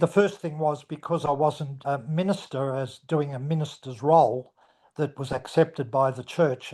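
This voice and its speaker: In an Australian accent, a man with a fairly high pitch and a dark, mellow tone speaks at a moderate pace with fairly even intonation over a quiet background. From Australia, Melbourne. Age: 80s+. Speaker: retired minister. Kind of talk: interview.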